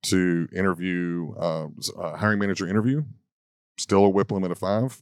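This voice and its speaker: An unremarkable speaking voice, a man at fairly low pitch and moderate pace with ordinary pitch variation, on a very clean recording with a silent background. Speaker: talent acquisition leader and speaker. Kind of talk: casual interview chat. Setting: outdoors in a park.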